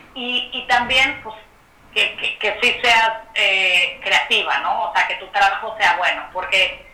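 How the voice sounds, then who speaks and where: Amid noticeable background noise and audible room echo, a woman speaks fairly slowly at a fairly high pitch with lively intonation. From Mexico City. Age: 30s. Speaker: photographer and entrepreneur. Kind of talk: interview conversation.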